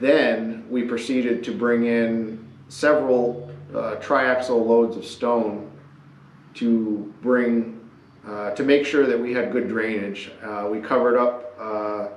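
A man at a very slow pace, fairly even in intonation, with audible room echo. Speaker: channel host. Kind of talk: casual project narration. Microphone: camera far.

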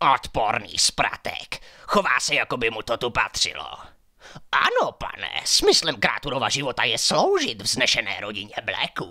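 This is a put-on character voice from a man. The pitch is medium. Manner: aggressive, muttering.

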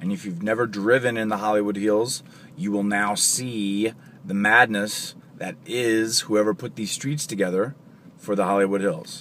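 Dry with no echo over light background noise, a man speaks at a moderate pace in a fairly low voice with ordinary pitch variation. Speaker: voice actor. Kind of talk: casual talk to camera. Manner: joking, self-deprecating.

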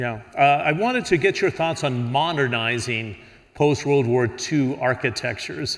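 An ordinary speaking voice at a moderate pace, with ordinary pitch variation and a quiet background. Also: man, medium pitch for a man. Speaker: panel moderator. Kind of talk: moderated panel discussion. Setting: stage with audience. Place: hall.

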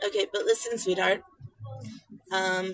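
A woman talks in a dry sound with no echo. Faint music plays in the background. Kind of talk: casual talk to a child. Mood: patient, gently amused. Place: car. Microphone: phone near.

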